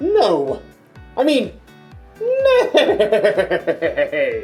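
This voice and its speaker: A put-on character voice at an extremely high pitch over faint music in the background. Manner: comic, nasal, exaggerated.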